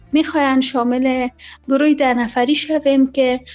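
A woman speaks with a high pitch and monotone, flat intonation. Music plays in the background. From Afghanistan. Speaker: former journalist and presenter. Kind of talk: interview. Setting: Skype call.

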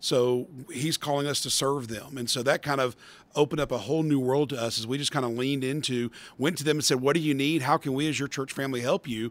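A man talks at a very fast pace with a fairly high pitch. His intonation is fairly even. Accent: Southern US. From US South, metro Atlanta, Georgia. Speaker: pastor and adoption ministry director. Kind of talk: podcast interview.

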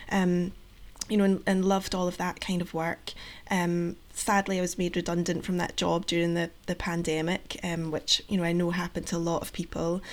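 With a Scottish accent, a woman talks at a moderate pace in a fairly low pitch, her intonation monotone and flat. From Scotland. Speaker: project coordinator, patient engagement. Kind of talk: interview. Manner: hesitant, many fillers.

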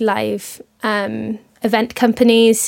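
A woman speaks in a fairly high pitch with a Welsh accent. Her intonation is monotone and flat. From Wales. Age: 20s. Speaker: radio presenter. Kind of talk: interview.

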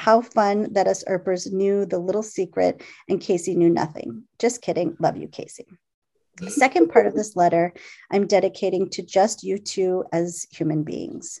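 With vocal fry, a woman at medium pitch talks at a moderate pace with ordinary pitch variation. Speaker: podcast host. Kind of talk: casual chat.

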